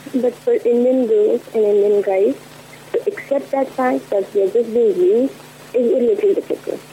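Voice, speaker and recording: Mumbling woman at a moderate pace amid noticeable background noise. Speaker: caller. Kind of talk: personal confession on call-in show.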